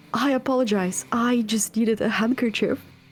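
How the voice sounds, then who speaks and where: Using a put-on character voice, a woman talks nasally at a fairly high pitch and a fairly quick pace with fairly even intonation. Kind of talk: polite, formal.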